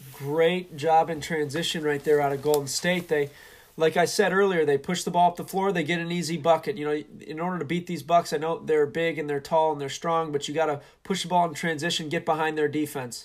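A man speaks in a plain, everyday voice, fairly high in pitch and fairly quick. His intonation is fairly even, and the recording is very clean with a silent background. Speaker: sports commentator. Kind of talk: sports commentary, live play-by-play with color analysis.

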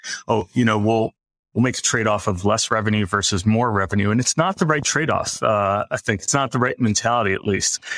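A man with an unremarkable speaking voice talks at a medium pitch and moderate pace. The recording is very clean, with a silent background and a dry, close sound with no echo. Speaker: media company executive. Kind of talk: interview conversation.

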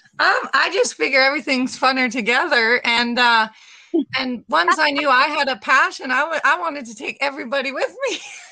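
A woman speaks with a Canadian Prairies accent. Her pitch is high, with ordinary variation. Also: fairly quick pace. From Saskatchewan, Canada. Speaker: running group organizer. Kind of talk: casual interview chat. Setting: remote call.

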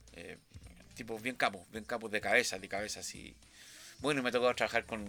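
A man's medium-pitched voice, bright and sharp in tone, with big swings in loudness, fairly even intonation and long, frequent pauses. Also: fairly quick pace. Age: 60s. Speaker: sound engineer. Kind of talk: interview. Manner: halting, many repetitions and fillers.

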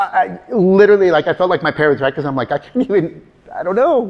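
Very fast, animated speech over noticeable background noise. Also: man. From California, US. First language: Spanish. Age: 50s. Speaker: motivational speaker and career trainer. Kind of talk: live talk to audience. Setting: stage with audience. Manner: animated, humorous.

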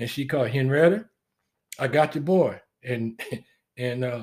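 The speaker sounds somewhat breathy and talks with a Southern US accent. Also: man. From US South. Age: 60s. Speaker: military veteran. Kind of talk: casual chat.

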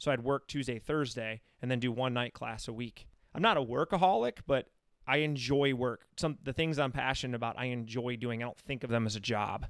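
Speaking fairly quickly with an American accent, a man has a medium pitch, fairly even intonation and an unremarkable speaking voice. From Michigan. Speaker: podcast host and running coach. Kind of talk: casual chat. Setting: studio.

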